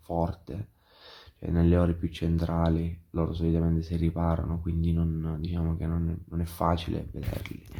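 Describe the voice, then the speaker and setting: With a dark, mellow tone, this man talks at a very deep, low pitch. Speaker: travel vlogger. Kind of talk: casual vlog talk to camera. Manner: hesitant, many fillers.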